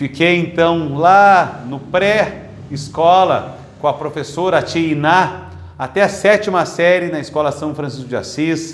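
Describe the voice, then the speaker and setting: This is a normal speaking voice, a man's, pitched fairly high. He talks at a fairly slow pace with ordinary pitch variation. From southern Brazil, Pelotas. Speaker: politician. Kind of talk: testimony. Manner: formal.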